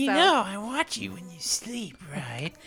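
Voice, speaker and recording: A put-on character voice, fairly high in pitch and menacing in tone, swings very widely in pitch at a fairly slow pace. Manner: creepy, menacing.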